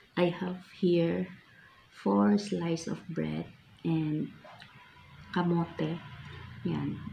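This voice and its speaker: Very slow speech from a woman, marked by long, frequent pauses. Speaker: food vlogger. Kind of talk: casual vlog chat.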